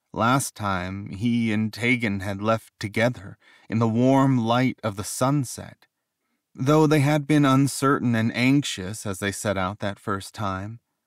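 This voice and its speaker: In a very clean recording with a silent background, a man of medium pitch speaks in a plain, everyday voice with ordinary pitch variation. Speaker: audiobook narrator. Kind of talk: audiobook narration.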